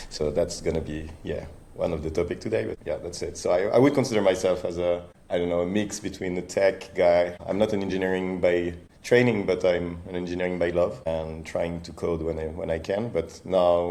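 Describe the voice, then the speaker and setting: A man's very deep, low voice with a dark, mellow tone and a French accent, fairly quick with ordinary pitch variation and audible room echo. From France. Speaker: startup founder and CEO. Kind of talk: interview. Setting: podcast recording.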